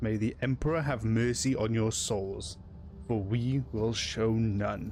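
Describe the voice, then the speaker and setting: Growling in a put-on character voice at a medium pitch, a man performs over clear background noise. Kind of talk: stern, commanding. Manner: menacing, growling.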